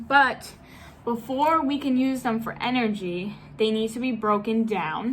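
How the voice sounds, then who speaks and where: A woman speaks at a fairly slow pace with a fairly high pitch and ordinary pitch variation. Audible room echo surrounds her voice. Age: 20s. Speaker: fitness YouTuber and personal trainer. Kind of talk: casual Q&A vlog.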